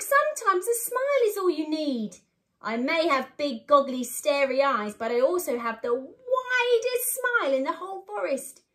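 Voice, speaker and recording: Using a put-on character voice, a woman speaks croakily at a moderate pace, her pitch extremely high and swinging very widely. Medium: read story.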